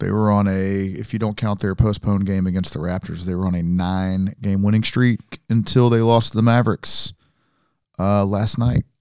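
A man with a plain, everyday voice speaks at a moderate pace with a fairly low pitch and fairly even intonation. The recording is very clean with a silent background. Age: 40s. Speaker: basketball podcast co-host. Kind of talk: casual chat. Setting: studio.

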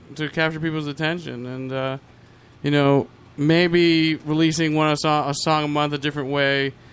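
A man speaks at a fairly high pitch in a monotone, flat intonation. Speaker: guest. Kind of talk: casual chat.

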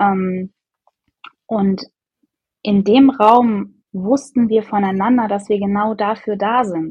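Somewhat breathy and medium in pitch, a woman speaks at a very slow pace with fairly even intonation and long, frequent pauses. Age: 30s. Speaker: podcast guest, mother and coaching client. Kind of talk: casual interview.

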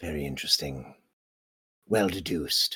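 Putting on a character voice, a man speaks very deep and low at a moderate pace. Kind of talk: formal, archaic-leaning speech. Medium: actual play. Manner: formal, measured, reserved.

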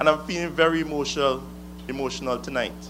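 A man speaks with an Antiguan accent. Music plays in the background. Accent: Antiguan Caribbean English. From Antigua and Barbuda. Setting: rally stage with audience. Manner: fiery, accusatory, declamatory with call-and-response pauses.

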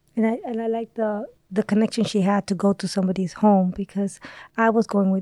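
In a dry, close, very clean recording with a silent background and no echo, a woman with an American accent talks at a fairly quick pace in a medium pitch, her tone dark and mellow and her intonation fairly even. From US, part of youth in Dominican Republic. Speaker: nurse. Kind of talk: interview.

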